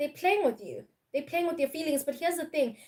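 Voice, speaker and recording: A woman with a Zulu accent speaks with lively intonation. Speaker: tarot reader. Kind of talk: live-stream tarot reading. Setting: live stream.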